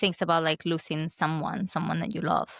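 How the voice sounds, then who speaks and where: Recorded dry and close with no echo against a silent background, a woman with a Spanish accent speaks at a fairly quick pace in a fairly low voice. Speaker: podcast host. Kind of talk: podcast interview.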